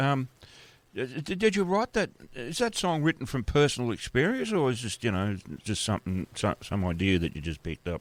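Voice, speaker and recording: The voice shows very wide pitch swings in a dry, close sound with no echo. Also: man. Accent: Australian. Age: 70s. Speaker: radio host. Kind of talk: radio interview. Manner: halting.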